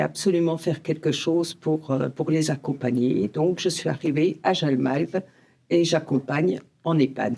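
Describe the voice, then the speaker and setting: Very deep and low in pitch, a woman speaks with vocal fry at a fairly slow pace. Her pitch variation is ordinary. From Franche-Comté, eastern France. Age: 60s. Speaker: end-of-life care volunteer. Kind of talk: podcast interview.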